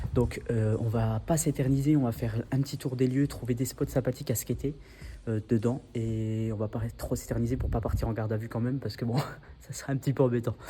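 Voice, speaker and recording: Somewhat breathy, a man speaks at a fairly quick pace with a dark, mellow tone. His intonation stays fairly even. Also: medium pitch for a man. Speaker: skateboarding vlogger. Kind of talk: vlog narration. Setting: abandoned hospital indoors. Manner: quiet, speaking softly; hesitant, filler words.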